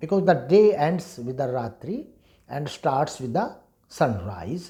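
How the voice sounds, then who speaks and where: Through audible room echo, a man with a dark, mellow tone and vocal fry speaks at a fairly slow pace, his fairly high pitch swinging very widely. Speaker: Vedic scholar and teacher. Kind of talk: lecture.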